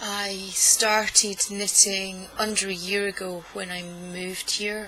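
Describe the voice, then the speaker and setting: In a Scottish accent, a woman with a medium pitch speaks in a monotone, flat intonation. Noticeable background noise runs underneath. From Scotland. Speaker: knitting vlogger. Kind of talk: casual vlog monologue. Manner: deliberately slow; hesitant, many fillers.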